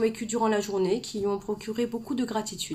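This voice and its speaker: A woman at a fairly quick pace and fairly high pitch, in a very clean recording with a silent background. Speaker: author and personal development coach. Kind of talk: live stream talk to viewers. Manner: fast, gets carried away; hesitant fillers, repeats words.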